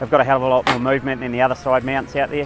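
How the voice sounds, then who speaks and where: Faint background music and a dry sound with no echo. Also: man. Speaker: fencing contractor. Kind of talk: interview answer. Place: farm machine.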